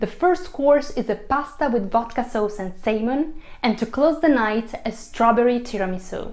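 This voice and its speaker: Speaking at a fairly slow pace in an Italian accent, a woman uses lively intonation and a fairly high pitch. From Italy. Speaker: food blogger and radio host. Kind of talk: cooking class instruction.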